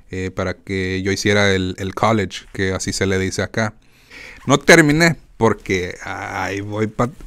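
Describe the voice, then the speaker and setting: Fairly low-pitched and fairly slow, a man talks in an animated tone with ordinary pitch variation. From Mexican-American, born in Phoenix, raised partly in Mexico; Arizona. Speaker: podcast host. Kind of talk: casual monologue. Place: home room. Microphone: studio mic.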